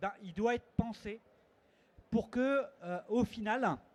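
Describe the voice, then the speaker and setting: As he speaks, the man shows ordinary pitch variation. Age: 60s. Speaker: conference panelist, network representative. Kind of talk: conference panel talk. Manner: hesitant, with many fillers.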